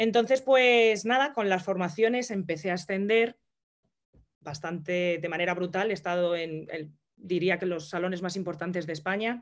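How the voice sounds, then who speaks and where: A woman speaks at a medium pitch and a moderate pace. Her pitch varies in an ordinary way, and the background is quiet. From Madrid, Spain; Spain. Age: 30s. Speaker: entrepreneur and hairdresser; interview guest. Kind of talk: interview. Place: home room. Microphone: video call.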